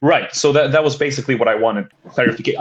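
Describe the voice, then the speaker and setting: A man talks at a very fast pace. He has a slight Swedish accent. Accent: slight Swedish accent, near-native English. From Sweden. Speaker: caller. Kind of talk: casual discussion. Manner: halting.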